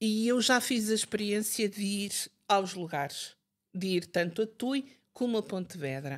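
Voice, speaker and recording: A woman with a northern Portuguese accent, fairly slow pace and lively intonation. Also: medium pitch for a woman, very clean recording, silent background. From northern Portugal, Barcelos. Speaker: writer and Fátima history expert. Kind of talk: interview conversation. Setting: podcast recording.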